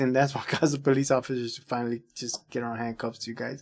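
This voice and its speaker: A man speaks at a fairly quick pace. Nothing much is heard behind him. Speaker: reaction video host. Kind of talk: casual commentary. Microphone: earbuds.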